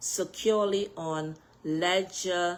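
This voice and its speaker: A woman with a Bahamian accent speaks at a medium pitch in an animated tone. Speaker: political party executive and candidate. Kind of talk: political address on social media live video.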